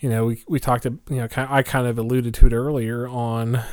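A man with an American accent speaks at medium pitch and a moderate pace. His intonation is monotone and flat, on a very clean recording with a silent background. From Oklahoma, small town. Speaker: podcast co-host, Freemason. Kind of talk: casual chat.

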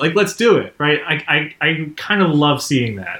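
This man's voice has a bright, sharp tone. His pitch swings very widely. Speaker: podcast co-host. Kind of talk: casual chat.

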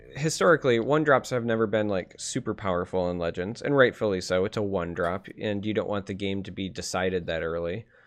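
Talking at a fairly quick pace with hardly any pauses, a man with an American accent has a plain, everyday voice at a fairly low pitch. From Michigan, US. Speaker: podcast host and game caster. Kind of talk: casual chat. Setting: live stream with chat.

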